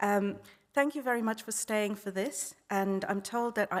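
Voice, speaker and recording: In a South African accent, a woman talks at a medium pitch with ordinary pitch variation. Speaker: conference speaker. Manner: fast talker.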